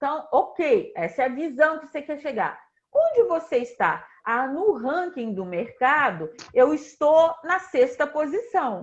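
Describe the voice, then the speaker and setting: At a fairly slow pace, a woman speaks at a high pitch with very wide pitch swings. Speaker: leadership strategy consultant. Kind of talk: online business talk. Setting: livestream.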